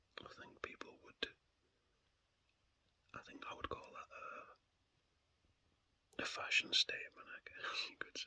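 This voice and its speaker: The whispering comes with big swings in loudness and long, frequent pauses. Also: man, fairly slow pace. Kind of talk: ASMR rambling. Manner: whispered.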